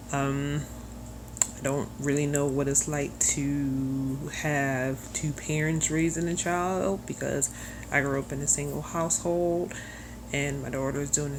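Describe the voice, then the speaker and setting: A woman speaks at a fairly slow pace. Room echo is audible around her voice. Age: 30s. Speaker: single mother video blogger. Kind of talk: personal video blog, confessional.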